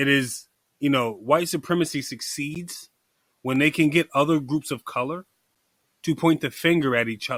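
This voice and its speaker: In a very clean recording with a silent background and a dry, close sound with no echo, a man with a plain, everyday voice speaks at a fairly high pitch, a moderate pace and with ordinary pitch variation. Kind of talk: casual chat.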